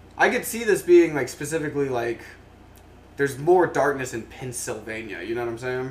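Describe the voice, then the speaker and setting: An ordinary speaking voice belongs to a man at medium pitch and a fairly quick pace. His intonation is lively, with big swings in loudness. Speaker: podcast host. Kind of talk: casual live comedy chat, profane. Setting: live online show.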